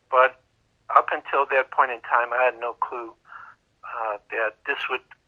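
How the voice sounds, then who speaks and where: With a Chicago accent, a man speaks at medium pitch and a fairly slow pace in a flat monotone. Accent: Chicago American English. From US Midwest, Chicago. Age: 60s. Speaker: crystal skull researcher. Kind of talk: interview. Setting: podcast interview. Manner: conversational with filler words.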